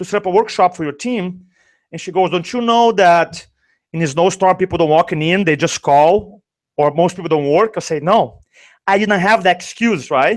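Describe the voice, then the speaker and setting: The speaker has a Brazilian accent and an animated tone at a fairly quick pace. Pitch variation is ordinary, and the recording is very clean with a silent background. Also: man. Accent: Brazilian accent, noticeable. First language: Portuguese. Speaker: sales and speaking coach. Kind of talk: interview storytelling. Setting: live video show.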